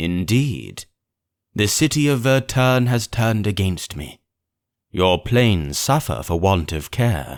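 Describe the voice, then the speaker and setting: A man uses a put-on character voice, fairly low in pitch. He speaks at a fairly slow pace with very wide pitch swings. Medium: read story. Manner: measured, formal, questioning.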